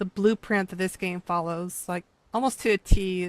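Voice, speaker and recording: A woman speaks at medium pitch in a monotone, flat intonation. The recording is very clean and dry, close with no echo, over a silent background. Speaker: video game streamer. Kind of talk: casual live stream commentary. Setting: live stream.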